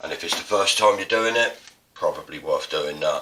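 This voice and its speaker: A man with an Estuary accent. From England. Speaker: artist and printmaking teacher. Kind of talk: tutorial. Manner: casual. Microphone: poor mic, upgrade expected.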